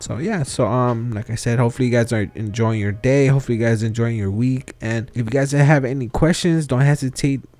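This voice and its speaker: A man at medium pitch talking at a very fast pace with hardly any pauses and ordinary pitch variation, music in the background. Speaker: podcast host. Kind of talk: casual interview. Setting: remote recording with out-of-state guest.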